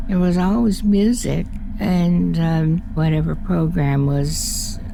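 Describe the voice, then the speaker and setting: A woman speaks at a very slow pace with lively intonation. The recording has audible room echo and noticeable background noise. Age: 80s+. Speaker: former radio station employee. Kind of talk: interview reminiscence. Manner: halting with fillers.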